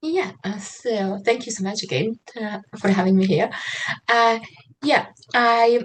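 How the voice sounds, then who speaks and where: Here a woman with a fairly high voice speaks at a fairly slow pace, with ordinary pitch variation and long, frequent pauses. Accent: Slovak. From Slovakia. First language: Slovak. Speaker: trauma-informed writer and mentor. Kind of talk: online interview. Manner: hesitant, many fillers.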